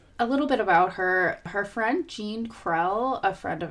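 Using an unremarkable speaking voice, a woman talks at a moderate pace with lively intonation. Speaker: podcast co-host. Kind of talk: casual chat, reading from prepared notes.

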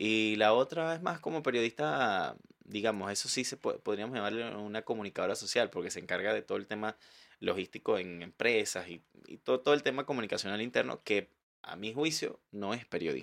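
This is a normal speaking voice. The intonation is lively and the pace fairly quick. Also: man, medium pitch for a man. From Venezuela, Valencia. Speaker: journalist. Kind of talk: casual chat. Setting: studio.

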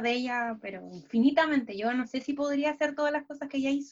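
The speaker is a woman with a high pitch. Her pitch moves up and down in an ordinary way. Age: 20s. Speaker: law student and dancer. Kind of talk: casual interview.

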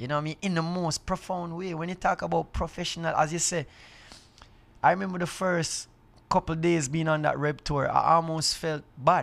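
A man with a Jamaican accent, fairly high in pitch, fairly quick and fairly even in intonation. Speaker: reggae artist. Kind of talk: casual chat. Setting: green room backstage on tour.

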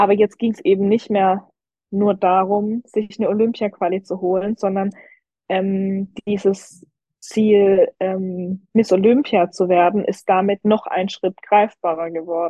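A woman talks at a fairly slow pace with a medium pitch. Her intonation is monotone and flat. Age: 20s. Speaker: professional figure athlete. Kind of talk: casual interview.

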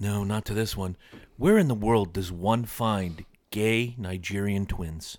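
A man with an American accent and a normal speaking voice, fairly low in pitch, fairly slow, with fairly even intonation. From Connecticut, US. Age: 40s. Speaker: podcast host. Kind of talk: casual chat. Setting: studio.

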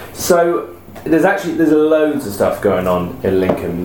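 There is noticeable background noise. The speaker talks with an English accent. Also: man. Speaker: podcast host. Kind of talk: casual chat. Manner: jokey.

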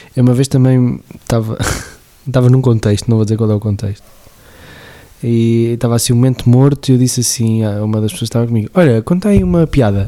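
Speaking very fast in a European Portuguese accent, a man keeps a medium pitch with ordinary pitch variation. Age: 30s. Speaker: podcast host. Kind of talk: casual chat.

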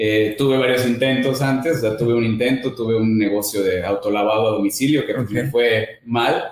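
A man at medium pitch and a fairly quick pace, very even in loudness and fairly even in intonation, with audible room echo and noticeable background noise. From Mexico, Veracruz. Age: 30s. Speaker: business owner. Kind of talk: interview.

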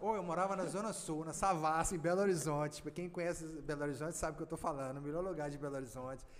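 In a room with audible echo, a man with a fairly high pitch talks very fast in an animated tone, with ordinary pitch variation and hardly any pauses. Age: 50s. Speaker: rural producer and former mayor. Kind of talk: podcast interview.

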